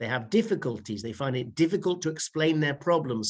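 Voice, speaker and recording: Fairly high-pitched, a man speaks with a British accent and lively intonation. His pace is fairly quick, and the background is quiet. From United Kingdom. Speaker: private teacher. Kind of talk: interview answer.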